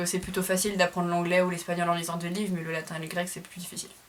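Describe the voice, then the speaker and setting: A woman's fairly low-pitched voice over noticeable background noise. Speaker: classics student and video creator. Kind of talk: casual tutorial vlog. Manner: fast; somewhat halting, hesitant.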